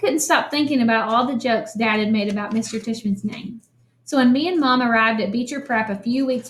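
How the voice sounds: A natural reading voice, its pitch varying in the ordinary way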